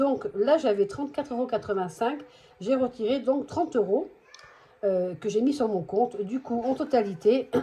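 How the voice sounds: A put-on character voice, hoarse and full of lively intonation, moves at a moderate pace. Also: woman, high pitch for a woman.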